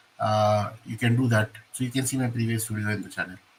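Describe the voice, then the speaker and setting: At a moderate pace, a man with an Indian accent speaks in a medium pitch, his tone bright and sharp and his intonation fairly even. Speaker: exam coaching mentor. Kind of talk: lecture. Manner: hesitant, with fillers.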